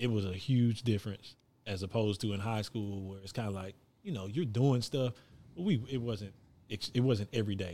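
Fairly quick, fairly low speech from a man with a dark, mellow tone, ordinary pitch variation and an American accent. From Texas, Gulf Coast (Hitchcock). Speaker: basketball coach, former college player. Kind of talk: casual interview.

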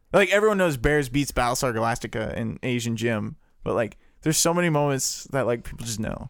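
In a normal speaking voice, the speaker moves at a fairly quick pace with lively intonation. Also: man, medium pitch for a man. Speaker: guest. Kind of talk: casual chat.

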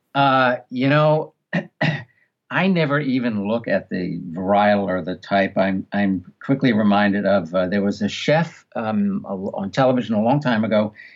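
A man with a New York accent, fairly low in pitch, at a fairly slow pace with ordinary pitch variation. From New York City (Queens). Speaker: audiobook director and narration coach. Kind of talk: interview conversation.

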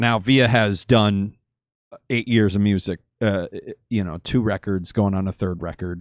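At a moderate pace, a man with a plain, everyday voice and a fairly low pitch speaks with ordinary pitch variation in a dry, close sound with no echo on a very clean recording with a silent background. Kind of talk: casual chat. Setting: live stream studio.

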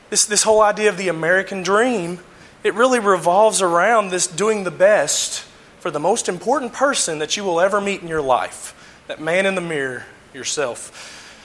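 Over noticeable background noise, a man talks at a moderate pace with high pitch and ordinary pitch variation. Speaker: lay preacher. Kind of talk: sermon. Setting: church. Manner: halting, frequent fillers.

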